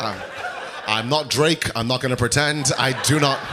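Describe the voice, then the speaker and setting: Over noticeable background noise, a man speaks with a fairly high pitch. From Wales (Cardiff), Zimbabwean-born. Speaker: stand-up comedian. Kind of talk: stand-up. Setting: stage with audience.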